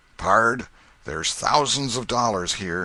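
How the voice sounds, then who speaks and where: On a very clean recording with a silent background, a man uses a put-on character voice that is raspy, medium in pitch and lively in intonation, speaking at a fairly slow pace. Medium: read story. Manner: gruff, rough vernacular.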